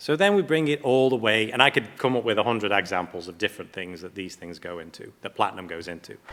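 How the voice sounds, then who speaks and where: Very fast speech with an English accent swings widely in pitch and shows big swings in loudness. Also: man. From England. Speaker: platinum refining company representative. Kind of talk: panel presentation.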